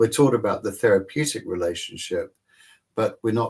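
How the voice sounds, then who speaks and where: A man with a fairly low pitch speaks at a moderate pace in a somewhat breathy voice. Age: 60s. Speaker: psychologist and author. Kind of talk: interview.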